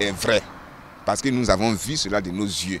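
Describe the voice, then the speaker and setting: The speaker is a man. His delivery moves along at a moderate pace. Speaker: pastor. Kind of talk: testimony.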